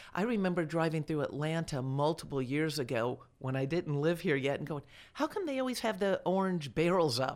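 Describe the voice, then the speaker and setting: A woman's very deep, low voice with lively intonation and an American accent. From Delray Beach, Florida. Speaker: mayoral candidate, former city councilwoman. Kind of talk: radio interview.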